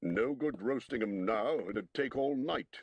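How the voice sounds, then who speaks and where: Putting on a gruff character voice, a man speaks fairly slowly at a medium pitch. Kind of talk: audiobook character voicing. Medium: read story. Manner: coarse, gruff, argumentative.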